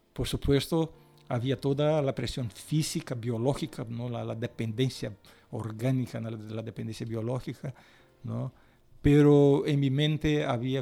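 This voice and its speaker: A man's dark, mellow, medium-pitched voice with a Brazilian accent, at a fairly slow pace with fairly even intonation. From Brazil, São Paulo (family from the northeast). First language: Portuguese (speaking Spanish). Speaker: pastor. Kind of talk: testimony interview. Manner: halting, with repetitions.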